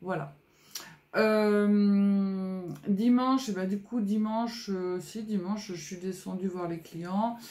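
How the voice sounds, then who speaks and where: A somewhat breathy woman with a dark, mellow tone at a very slow pace, amid audible room echo. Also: medium pitch for a woman, fairly even intonation. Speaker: scrapbooking youtuber. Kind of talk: casual vlog chat. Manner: hesitant, many fillers.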